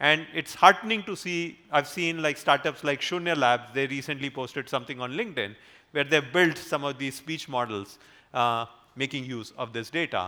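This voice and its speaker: With an Indian accent, a man speaks in a bright, sharp tone, fairly high in pitch, with lively intonation. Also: moderate pace. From northern India, Haryana, raised in Delhi. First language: Hindi. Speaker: AI research leader. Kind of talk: conference talk. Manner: halting, with fillers.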